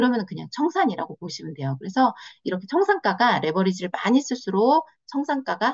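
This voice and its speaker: A somewhat breathy woman's voice with very wide pitch swings at a fairly quick pace. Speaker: trading instructor. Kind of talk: online lecture. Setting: video call. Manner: many filler pauses; stumbling over words.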